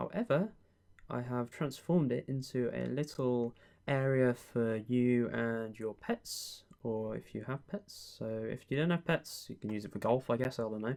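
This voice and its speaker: The speaker uses a British accent, talking at a fairly slow pace with a calm tone. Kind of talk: ASMR roleplay as a friendly estate agent giving a house tour. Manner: friendly, calm, soft-spoken.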